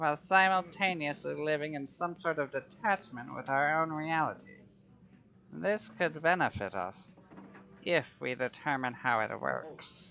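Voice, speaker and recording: A put-on character voice, female-sounding and very deep and low in pitch, at a moderate pace with music in the background. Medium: audio drama. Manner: cold, imperious.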